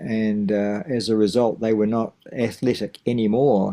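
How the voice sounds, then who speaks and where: Speaking with a New Zealand accent, a man uses a medium pitch, a dark, mellow tone and fairly even intonation at a fairly slow pace, on a very clean recording with a silent background. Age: 70s. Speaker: teacher of wellbeing and masters runner. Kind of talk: interview. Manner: halting.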